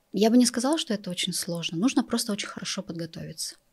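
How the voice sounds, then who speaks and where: On a very clean recording with a silent background, a woman's somewhat breathy, medium-pitched voice carries lively intonation. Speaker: entrepreneur and office employee. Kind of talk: interview. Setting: studio.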